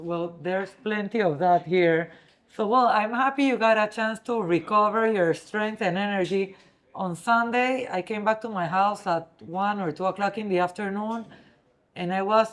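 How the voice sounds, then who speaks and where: A woman with a Spanish accent at medium pitch and a moderate pace, with ordinary pitch variation. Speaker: interviewer. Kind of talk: interview.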